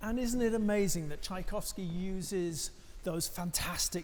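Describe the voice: Fairly high in pitch with a slightly mellow tone, a man speaks at a moderate pace with fairly even intonation.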